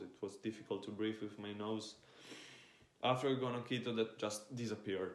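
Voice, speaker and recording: With audible room echo, a man speaks at a fairly low pitch and with fairly even intonation. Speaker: fitness influencer. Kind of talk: casual monologue.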